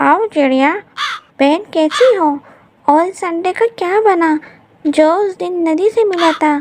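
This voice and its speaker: A woman speaks at a moderate pace in a cartoonish character voice. Her pitch sits extremely high. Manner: chatty.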